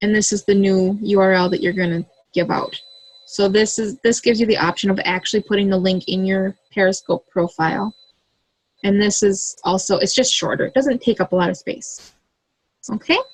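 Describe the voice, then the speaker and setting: A woman talks at a fairly quick pace in a medium pitch, with ordinary pitch variation. Her voice is somewhat breathy, and the sound is dry and close with no echo. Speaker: direct sales consultant. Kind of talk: tutorial. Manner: casual, with fillers.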